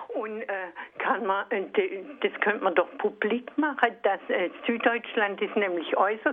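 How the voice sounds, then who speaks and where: Over noticeable background noise, a woman speaks at a very slow pace with a medium pitch and ordinary pitch variation. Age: 60s. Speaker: radio listener caller. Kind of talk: phone-in complaint. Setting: phone call. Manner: halting.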